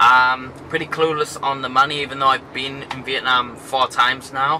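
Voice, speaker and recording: A man talks in a monotone, flat intonation at a moderate pace. Light background noise is present. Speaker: travel vlogger. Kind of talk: casual vlog chat. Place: car. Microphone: phone near.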